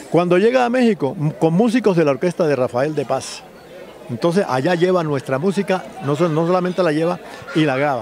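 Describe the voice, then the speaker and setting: Crowd noise fills the background as a man speaks at a fairly quick pace and a high pitch. His intonation is lively, and the sound is dry with no echo. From Colombia. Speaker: writer and music historian; interviewee. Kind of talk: interview. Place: street. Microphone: handheld.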